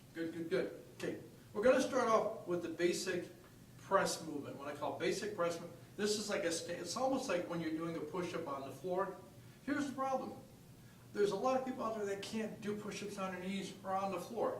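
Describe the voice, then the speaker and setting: A man's high-pitched voice with ordinary pitch variation, audible room echo and noticeable background noise. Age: 70s. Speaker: fitness coach. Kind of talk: tutorial. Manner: animated.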